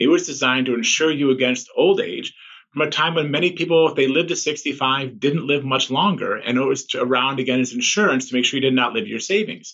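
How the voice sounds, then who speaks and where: At a fairly quick pace with hardly any pauses, this is a normal speaking voice with ordinary pitch variation. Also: man, fairly high pitch for a man. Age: 50s. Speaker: economist. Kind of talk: interview.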